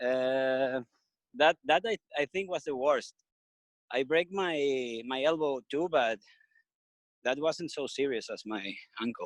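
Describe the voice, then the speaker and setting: A man with a Venezuelan accent speaks very slowly at a fairly high pitch, leaving long, frequent pauses and using ordinary pitch variation. The sound is dry and close with no echo, over a quiet background. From Venezuela (Margarita / Caracas). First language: Spanish. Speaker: skateboarder, surfer and business owner. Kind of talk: interview. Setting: video call. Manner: halting, hesitant with fillers.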